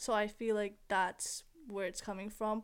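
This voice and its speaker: Fairly high pitch and a moderate pace from a woman, a normal speaking voice. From Philippines, raised in Canada. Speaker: university student. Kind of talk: casual chat.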